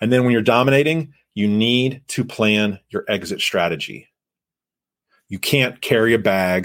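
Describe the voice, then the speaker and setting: With a plain, everyday voice, a man speaks at a moderate pace and a fairly low pitch, using ordinary pitch variation. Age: 40s. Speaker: sales podcast host and coach. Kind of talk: live podcast monologue. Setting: livestream on LinkedIn with online audience.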